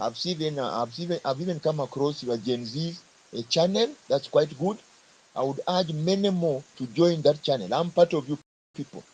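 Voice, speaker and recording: Speaking at a moderate pace, a man uses lively intonation with a fairly high pitch and a somewhat breathy quality. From Kenya. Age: 50s. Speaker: government worker speaking in a live audio forum. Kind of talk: speech to a live audio forum.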